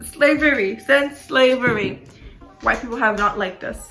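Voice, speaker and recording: A woman speaks in a raised, projected voice with music in the background. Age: 20s. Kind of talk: casual talk to camera.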